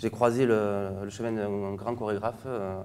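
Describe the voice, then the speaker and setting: A man with a southern French accent speaks at a fairly slow pace in a medium-pitched, dark, mellow voice with fairly even intonation. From southern France, Montpellier. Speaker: flamenco dancer. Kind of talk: interview.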